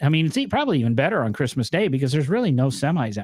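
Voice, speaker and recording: A man with a northern US accent at medium pitch, dry and close with no echo, on a very clean recording with a silent background. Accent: northern US accent, noticeable on some words. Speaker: podcast host. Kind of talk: casual chat.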